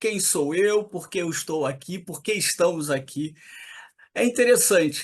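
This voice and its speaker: A man with an ordinary speaking voice talks at a fairly slow pace, using lively intonation. The background is quiet. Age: 60s. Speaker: poet. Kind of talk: interview.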